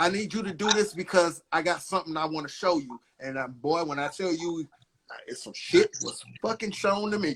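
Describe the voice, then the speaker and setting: A man speaks loudly at a moderate pace. His pitch is high, with ordinary variation. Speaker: channel host. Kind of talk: casual chat. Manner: aggressive.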